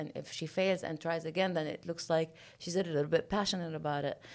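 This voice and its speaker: With a Lebanese accent, a woman talks fairly quickly at a fairly low pitch with fairly even intonation. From Lebanon. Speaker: mountaineer and entrepreneur. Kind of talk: interview.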